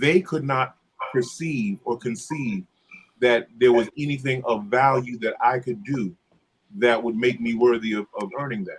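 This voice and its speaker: This man's voice is somewhat breathy and medium in pitch. He speaks at a fairly slow pace with ordinary pitch variation. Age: 60s. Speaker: church musician. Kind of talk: casual chat.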